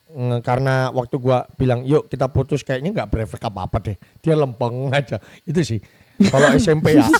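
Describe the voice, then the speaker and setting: In a Javanese accent, a man talks at a fairly quick pace and medium pitch with an animated tone and ordinary pitch variation, in a dry, close sound with no echo. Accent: Javanese (medok). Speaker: podcast host. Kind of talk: casual chat.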